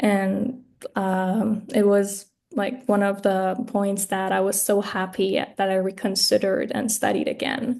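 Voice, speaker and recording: A woman with a Persian accent, medium pitch, dark, mellow tone, fairly even intonation and a fairly slow pace. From Iran. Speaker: graduate student. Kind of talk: mock job interview. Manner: halting, many fillers.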